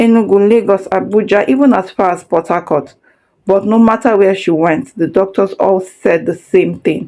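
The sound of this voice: It is an unforced reading voice with ordinary pitch variation. The background is quiet.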